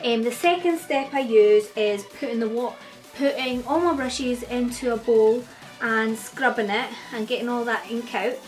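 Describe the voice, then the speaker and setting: Music plays in the background as a woman speaks with a Scottish accent. Her pitch is high and her pace moderate. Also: ordinary pitch variation. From Scotland. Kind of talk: beauty tutorial talk to camera. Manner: casual.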